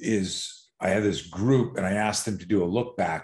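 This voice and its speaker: A man talks with an ordinary speaking voice at a moderate pace. His pitch variation is ordinary, and the background is quiet. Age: 60s. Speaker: self-defense instructor. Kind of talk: casual chat. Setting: garage gym.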